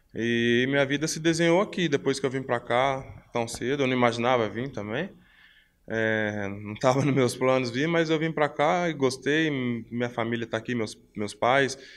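Moving at a moderate pace, a man speaks with pitch that varies in an ordinary way. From Brazil, São Paulo (moved from Belo Horizonte at 12). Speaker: professional footballer; interviewee. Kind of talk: interview; interview answer. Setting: hotel. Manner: halting, repeats words. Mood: relaxed, friendly. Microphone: handheld.

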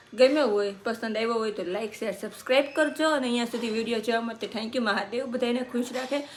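Over noticeable background noise, a woman speaks in an animated tone with a fairly high pitch. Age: 30s. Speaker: cooking vlogger. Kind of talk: casual vlog chat.

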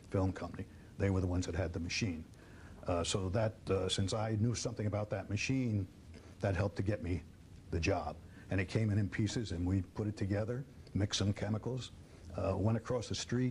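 Somewhat breathy, a man speaks at a fairly quick pace with fairly even intonation over light background noise. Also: fairly low pitch for a man. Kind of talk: interview answer. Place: studio. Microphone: lapel.

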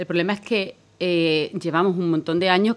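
A woman with a fairly low pitch, talking at a very fast pace with fairly even intonation. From Extremadura, Spain. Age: 40s. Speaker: politician. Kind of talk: political debate. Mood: firm, argumentative. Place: studio. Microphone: studio mic.

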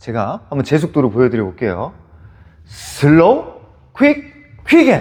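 A man talks fairly slowly, with long pauses coming often. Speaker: dance instructor. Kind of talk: tutorial.

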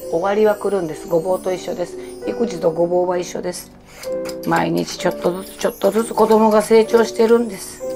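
Over clear background music, a woman talks fairly quickly. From Kansai. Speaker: comedian. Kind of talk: casual cooking talk to camera. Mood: warm, encouraging, humorous. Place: kitchen. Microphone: phone near.

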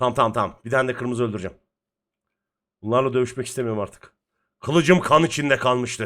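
A man at medium pitch with an animated tone, ordinary pitch variation, a very fast pace and long, frequent pauses. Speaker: gaming streamer. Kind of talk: gameplay commentary.

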